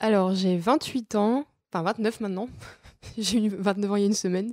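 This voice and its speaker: Speaking at a fairly quick pace, a woman uses a plain, everyday voice of medium pitch with ordinary pitch variation, and the sound is dry and close with no echo. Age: 20s. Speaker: billiards champion. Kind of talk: interview.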